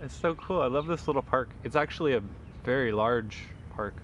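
Delivered at a fairly quick pace, the tone is fairly bright and the pitch varies in an ordinary way. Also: man, medium pitch for a man.

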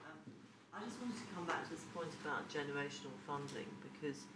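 A woman talks at a fast pace with a low pitch and ordinary pitch variation. Her tone is fairly bright, with faint background noise.

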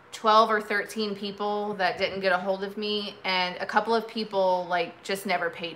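A woman talks at a moderate pace, with light background noise behind her. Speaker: vintage seller hosting a live sale. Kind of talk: casual live-stream chat. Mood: upbeat, joking. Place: home room. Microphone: phone near.

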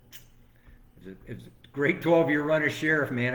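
In an American accent, a man talks at a fairly quick pace with lively intonation, and room echo is audible. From Florida, Venice area. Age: 60s. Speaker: former sheriff and political candidate. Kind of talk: interview.

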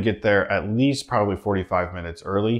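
Very fast and with fairly even intonation, a man talks at a fairly low pitch against a quiet background. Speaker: travel vlogger. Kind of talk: casual vlog chat. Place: home room.

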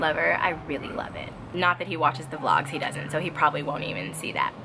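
Music plays in the background. A woman talks at a very fast pace. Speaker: vlogger. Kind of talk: casual vlog chat. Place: garden. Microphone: phone near.

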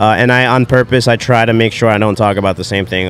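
Faint music plays behind a man talking very fast in an American accent. The sound is dry with no echo, and his pitch varies in an ordinary way. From New Jersey. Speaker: coffee company owner; podcast guest. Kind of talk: casual chat; interview answer. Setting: live at fitness event. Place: tent.

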